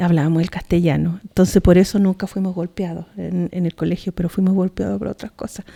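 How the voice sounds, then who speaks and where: With a dark, mellow tone and a fairly low pitch, a woman speaks somewhat breathily at a fairly quick pace, with fairly even intonation and hardly any pauses. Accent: Chilean. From southern Chile, Mapuche community. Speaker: poet. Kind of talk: talk. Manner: halting, with many repetitions.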